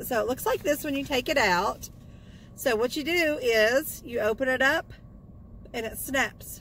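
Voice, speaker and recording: Speaking at a moderate pace, a woman has a bright, sharp tone, high pitch and lively intonation, in a dry sound with no echo and light background noise. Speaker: vlogger. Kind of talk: casual vlog chat. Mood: cheerful, upbeat. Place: car.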